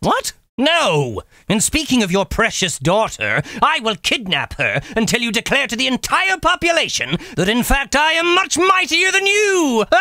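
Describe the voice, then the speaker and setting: A man puts on a cartoonish character voice pitched extremely high. He speaks at a moderate pace. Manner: theatrical, blustering.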